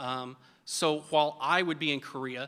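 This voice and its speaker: A man with an American accent speaks at a fairly high pitch. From Oklahoma. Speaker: army veteran. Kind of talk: storytelling speech.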